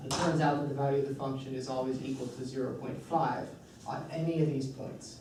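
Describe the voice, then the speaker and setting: Speech moves at a moderate pace against noticeable background noise, with audible echo in the room. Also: man. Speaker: math instructor. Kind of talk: lecture.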